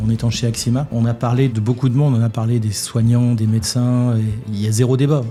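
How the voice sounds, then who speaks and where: A man's medium-pitched, flat, monotone delivery at a fairly quick pace, with music playing in the background. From northern France (Douai, Nord). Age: 60s. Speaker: business executive, former refrigeration technician. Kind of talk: interview.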